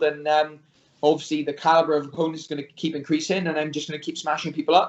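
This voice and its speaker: A man does the talking. His pitch is fairly high and his pace very fast. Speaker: MMA fighter. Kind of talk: interview. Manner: hesitant, many fillers.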